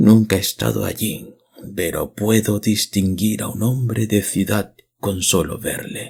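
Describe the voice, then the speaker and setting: A man whispers in a put-on character voice, soft-spoken and hoarse. His pace is fairly slow. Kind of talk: archaic rural speech. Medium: read story. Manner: flattering, rambling, feverish.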